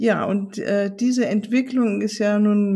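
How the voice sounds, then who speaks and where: Somewhat breathy and dark, mellow in tone, a woman speaks at a medium pitch with fairly even intonation. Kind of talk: guided meditation. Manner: slow, soft, soothing; calm, gentle, with long pauses.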